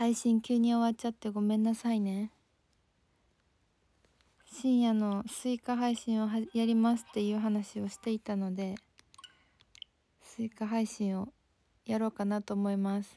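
Long, frequent pauses, a dark, mellow tone, monotone, flat intonation, and dry sound with no echo. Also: woman, moderate pace. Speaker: livestreamer. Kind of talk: casual livestream chat reading viewer comments. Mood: apologetic, friendly. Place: home room.

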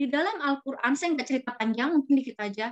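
The talking moves at a fairly quick pace over a quiet background. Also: woman. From Jakarta, Indonesia. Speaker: journaling trainer. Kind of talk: online workshop talk. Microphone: video call.

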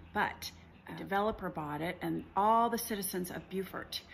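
Over light background noise, a woman speaks at a moderate pace with vocal fry. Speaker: travel vlogger. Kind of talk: casual vlog chat. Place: home room. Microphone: phone near.

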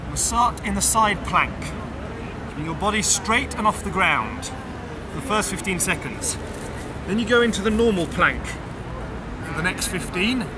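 A man talks at a moderate pace with long, frequent pauses. Background noise is noticeable. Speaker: fitness trainer. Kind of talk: tutorial. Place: garden.

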